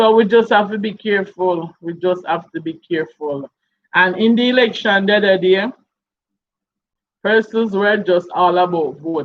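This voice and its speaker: A woman speaks with a Jamaican accent at a medium pitch. Her pace is moderate and her pitch variation ordinary. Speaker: YouTube live streamer. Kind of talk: casual live stream chat.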